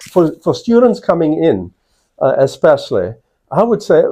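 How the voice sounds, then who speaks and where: A man talks at a moderate pace with a South African accent. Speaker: college provost, professor. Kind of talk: interview answers to students. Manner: hesitant with frequent fillers.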